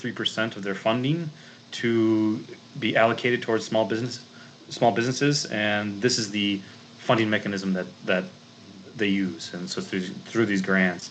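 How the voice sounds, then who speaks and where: With an American accent, a man speaks at a fairly quick pace in a fairly low pitch with ordinary pitch variation. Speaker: grant consultant and chemist. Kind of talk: presentation talk. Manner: many fillers and restarts.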